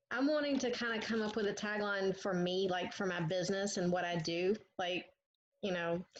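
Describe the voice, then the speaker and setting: In a Southern US accent, a woman speaks at a moderate pace and medium pitch, with very even loudness and ordinary pitch variation. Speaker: marketing student. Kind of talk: group coaching call.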